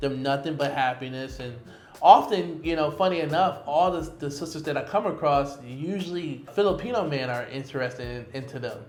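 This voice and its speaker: A man talks at a fairly quick pace in a fairly high pitch, with ordinary pitch variation and big swings in loudness. Audible room echo and noticeable background noise fill the recording. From US, Detroit. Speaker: expat digital nomad and entrepreneur. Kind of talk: casual interview chat.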